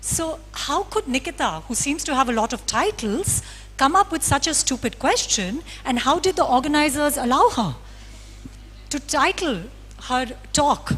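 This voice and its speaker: Over music in the background, a woman's intonation moves in a lively way. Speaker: philosopher, conference speaker. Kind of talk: lecture.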